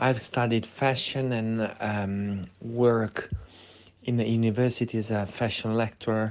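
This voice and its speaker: A man speaks at a fairly slow pace with an Italian accent, his intonation flat and monotone. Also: medium pitch for a man. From Italy. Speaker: fashion lecturer. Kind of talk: interview. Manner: hesitant, many fillers.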